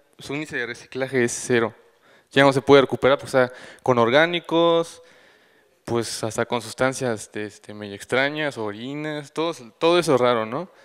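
A man at a moderate pace with ordinary pitch variation and big swings in loudness, over a quiet background. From Mexico City. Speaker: recycling initiative founder; conference presenter. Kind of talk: conference talk; panel Q&A. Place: hall. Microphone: handheld.

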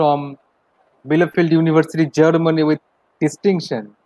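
Recorded dry and close with no echo, a man with an Indian accent speaks at a fairly high pitch. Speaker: college lecturer and event organizer. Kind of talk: formal webinar hosting. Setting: video call. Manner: formal.

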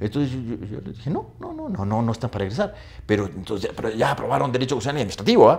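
The intonation is lively throughout. A man gets his words out at a very fast pace. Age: 50s. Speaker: law professor. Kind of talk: casual interview. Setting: studio. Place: studio. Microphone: lapel.

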